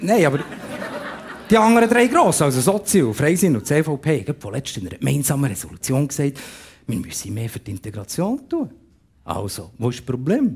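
With vocal fry and a fairly high pitch, a man talks at a fairly quick pace, his pitch swinging very widely and his loudness in big swings, broken by long, frequent pauses. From Bern, Switzerland. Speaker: comedian. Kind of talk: comic monologue. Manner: animated.

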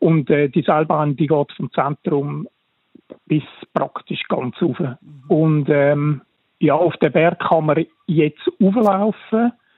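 A man's fairly high voice at a very slow pace, with long, frequent pauses and ordinary pitch variation. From Switzerland, canton of Zurich. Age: 50s. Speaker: architect. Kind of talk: radio interview. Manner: hesitant, many fillers.

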